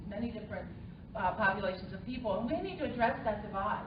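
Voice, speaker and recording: Fairly high in pitch, a woman talks with ordinary pitch variation. Audible room echo and noticeable background noise surround her voice. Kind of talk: press conference speech. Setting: press conference.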